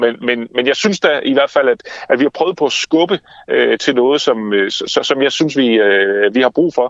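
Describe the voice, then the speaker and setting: The recording is dry and close, with no echo at all. It carries a man's voice. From Denmark, Funen (Haarby), from age six. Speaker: author and campaign founder. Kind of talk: interview. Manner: fast; animated.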